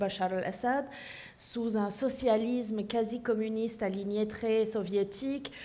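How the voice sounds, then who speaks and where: Speaking fairly slowly, a woman has an ordinary speaking voice with a fairly high pitch. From Syria, childhood partly in Paris and abroad. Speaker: author. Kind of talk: panel discussion.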